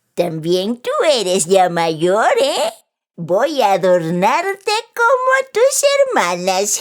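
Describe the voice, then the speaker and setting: A female-sounding voice puts on a character at medium pitch. The delivery is very slow. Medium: read story. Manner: indulgent, chuckling.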